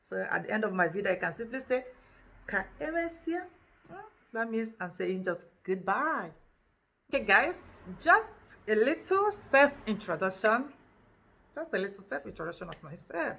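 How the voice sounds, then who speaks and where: With a Nigerian accent and a bright, sharp, animated tone, a woman speaks at a moderate pace and fairly high pitch, her pitch swinging very widely, her loudness shifting a lot, and long pauses coming often. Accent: Nigerian Igbo English. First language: Igbo. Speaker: language teacher. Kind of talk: tutorial.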